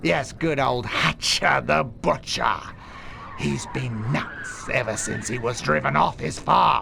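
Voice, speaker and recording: A man's put-on character voice at a medium pitch, fairly slow in pace, over clear background noise. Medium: video game. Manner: calm, deadpan menace.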